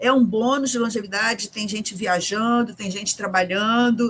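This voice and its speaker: High-pitched and showing ordinary pitch variation, a woman speaks. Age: 60s. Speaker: journalist and writer. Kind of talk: interview.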